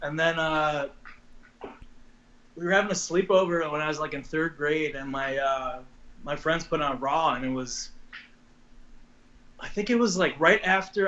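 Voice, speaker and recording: A man with an American accent and a fairly high pitch, moderate pace with long, frequent pauses, ordinary pitch variation, and noticeable background noise. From Long Island, New York. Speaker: professional wrestler. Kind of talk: interview. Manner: casual, hesitant.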